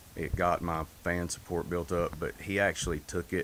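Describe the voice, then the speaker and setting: A man with a Southern US accent speaks at a moderate pace. His pitch is very deep and low, with vocal fry. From North Carolina. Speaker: singer. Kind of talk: interview.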